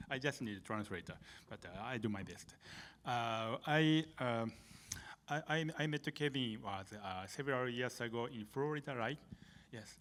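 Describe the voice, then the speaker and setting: Speaking at a moderate pace in a Japanese accent, a man leaves long, frequent pauses. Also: medium pitch for a man, ordinary pitch variation. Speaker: manga artist, illustrator. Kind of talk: panel discussion. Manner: halting.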